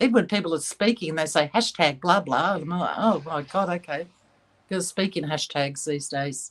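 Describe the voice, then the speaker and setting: Speaking at a moderate pace with an Australian accent, the voice shows ordinary pitch variation. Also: woman, fairly low pitch for a woman. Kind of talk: livestream chat. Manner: clear and articulate; halting.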